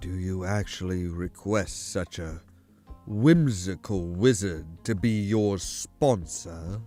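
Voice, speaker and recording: A man uses a put-on character voice with a very deep, low pitch at a fairly slow pace. Faint music sits in the background. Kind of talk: formal, archaic.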